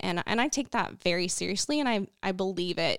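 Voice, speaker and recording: A woman with an American accent speaks in a plain, everyday voice at a medium pitch and moderate pace. The sound is dry and close with no echo, on a very clean recording with a silent background. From northwest Oklahoma. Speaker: communications director for Native agriculture initiative. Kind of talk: interview.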